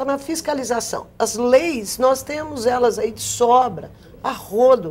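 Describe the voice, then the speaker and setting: High in pitch, a woman speaks at a fairly slow pace with ordinary pitch variation and big swings in loudness. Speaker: political commentator. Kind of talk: televised political panel discussion. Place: studio. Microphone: lapel.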